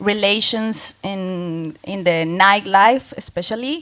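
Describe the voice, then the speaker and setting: A woman speaks at medium pitch with ordinary pitch variation. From Colombia. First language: Spanish. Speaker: music collective organizer. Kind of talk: panel discussion.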